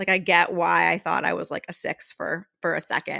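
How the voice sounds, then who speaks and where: Loud and bright, with a sharp tone and vocal fry, a woman speaks at a moderate pace on a very clean recording with a silent background. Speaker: podcast co-host. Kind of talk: reading aloud; casual chat.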